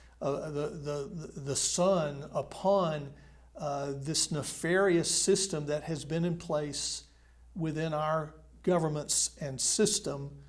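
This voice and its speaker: With an American accent, a man speaks at a very slow pace, his fairly high pitch held in fairly even intonation. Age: 60s. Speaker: former state senator. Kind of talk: interview conversation. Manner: halting, many fillers.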